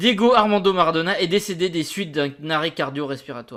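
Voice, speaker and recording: A man's voice is captured in a very clean recording, the background completely silent. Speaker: football youtuber. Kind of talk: reading an article aloud with comments. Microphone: new mic.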